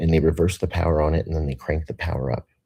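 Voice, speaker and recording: The tone is dark and mellow, with vocal fry. It comes with an American accent. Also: man. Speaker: video blogger. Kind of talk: casual monologue. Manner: rambling, halting.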